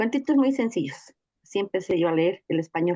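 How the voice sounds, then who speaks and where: A woman's fairly low voice with lively intonation. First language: Nahuatl (speaking Spanish). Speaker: teacher and reading mediator. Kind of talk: testimony in a teachers' workshop session.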